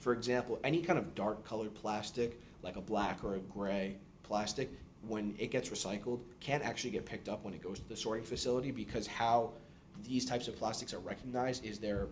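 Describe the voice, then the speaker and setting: A man with an American accent talks in a normal speaking voice at medium pitch and a fairly quick pace. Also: ordinary pitch variation. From New York City. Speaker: engineering student. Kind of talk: podcast interview.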